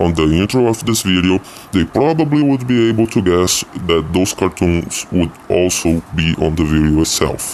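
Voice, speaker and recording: A man with a very deep, low voice speaks with lively intonation. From Brazil. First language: Portuguese. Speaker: YouTube commentator. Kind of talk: video commentary.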